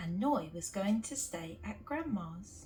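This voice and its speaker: A woman with a British accent speaks at a very slow pace. Music plays in the background. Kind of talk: children's picture book read-aloud.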